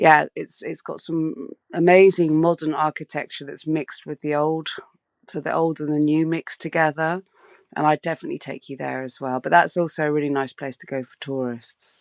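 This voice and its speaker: A woman with a very deep, low pitch, at a fairly quick pace with monotone, flat intonation, in a very clean recording with a silent background and a dry, close sound with no echo. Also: big swings in loudness. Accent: southern English. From southwest England (Bath). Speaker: street photographer. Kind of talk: interview. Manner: hesitant, many fillers.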